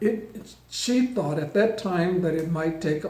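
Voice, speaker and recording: Through noticeable background noise, a man speaks at a fairly slow pace with fairly even intonation. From Mississippi, US South. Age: 80s+. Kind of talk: prepared personal statement, partly read.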